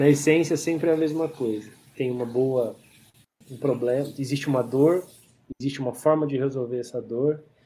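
A man talks at a moderate pace with fairly even intonation. His tone is dark, mellow and somewhat breathy. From interior of São Paulo state, Brazil. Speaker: entrepreneur and investor, chemist. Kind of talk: interview. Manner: halting, many repeated words.

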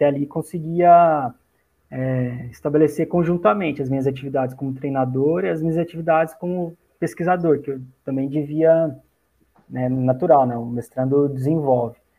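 A man's fairly high, moderately paced delivery: an ordinary speaking voice, ordinary pitch variation. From Brazil, Minas Gerais (Itajubá). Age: 30s. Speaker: athletics coach and sports science researcher. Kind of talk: casual interview.

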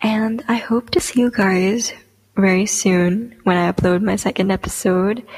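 A woman with a somewhat breathy, nervous-sounding voice speaks at a fairly slow pace, her intonation fairly even and her loudness very even. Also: medium pitch for a woman. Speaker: podcast host and aspiring poet. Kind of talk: casual solo podcast monologue. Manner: nervous, chatty, filler words.

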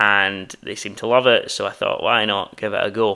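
A man speaks with a Scottish accent in a bright, sharp tone. His pace is fairly slow. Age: 20s. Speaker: podcast host and new graduate starting a business. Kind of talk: solo introductory podcast monologue. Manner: casual, slightly halting with fillers.

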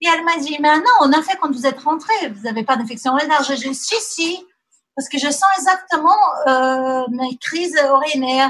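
A woman's high pitch with lively intonation. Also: moderate pace. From Brazil. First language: Portuguese (speaking French). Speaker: mother sharing birth story. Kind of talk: testimony. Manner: halting.

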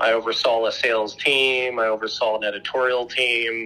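A man speaks with a Midwestern accent at a fairly slow pace. Noticeable background noise runs beneath him. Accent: General American (Midwest). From US Midwest (Dayton, Ohio). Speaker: entrepreneur. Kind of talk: casual interview.

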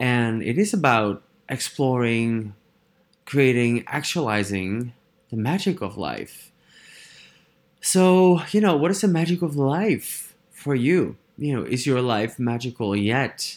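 On a very clean recording with a silent background, a man with a Dutch accent speaks very slowly at medium pitch, his voice swinging very widely. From Netherlands. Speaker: podcast host, personal development facilitator. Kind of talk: solo monologue podcast. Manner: animated, frequent fillers and laughs.

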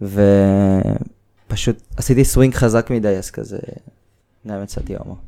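A man at a fairly slow pace. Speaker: climbing gym owner. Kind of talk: casual chat.

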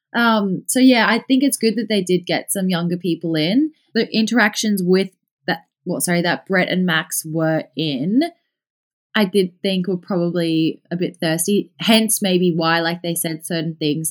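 Speaking with an Australian accent, a woman keeps a moderate pace. Her pitch is fairly low, with ordinary pitch variation. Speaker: podcast listener. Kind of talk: casual chat.

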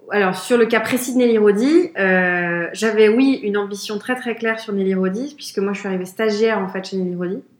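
Amid noticeable background noise, a woman talks at a fairly quick pace with hardly any pauses and ordinary pitch variation. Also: medium pitch for a woman. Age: 30s. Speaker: business executive at a trend forecasting firm. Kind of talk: interview.

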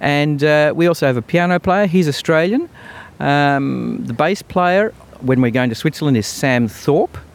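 A man at a fairly slow pace, fairly high in pitch, with lively intonation. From Australia, Melbourne. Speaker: band leader and clarinettist. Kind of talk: interview. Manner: halting.

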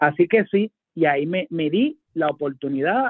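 With a normal speaking voice, a man at a fairly high pitch talks fairly slowly with lively intonation. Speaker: judge and author. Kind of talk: radio interview.

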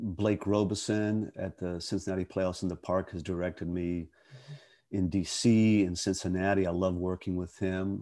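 A man's very deep, low, dark and mellow voice in a monotone, flat delivery, with an American accent, on a very clean recording over a silent background. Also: moderate pace. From western Pennsylvania. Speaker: actor. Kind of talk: interview conversation.

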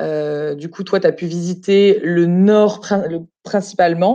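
A woman's dark, mellow voice, fairly low in pitch, with fairly even intonation. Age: 30s. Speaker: hotel group employee, expatriate. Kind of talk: casual interview. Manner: halting.

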